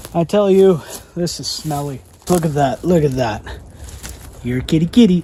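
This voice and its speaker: A man with a fairly high pitch talks with ordinary pitch variation and long, frequent pauses. Noticeable background noise is present. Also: moderate pace. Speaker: fishing and wildlife youtuber. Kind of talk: vlog narration.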